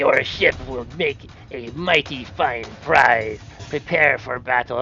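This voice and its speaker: Over clear background music, a man puts on a character voice at a medium pitch and a fairly slow pace. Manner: menacing, challenging.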